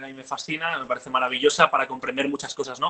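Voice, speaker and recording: Amid noticeable background noise, a man with a Catalan accent speaks at a very fast pace. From Catalonia, Spain. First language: Catalan (speaking Spanish). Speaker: political activist and commentator. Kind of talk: interview conversation.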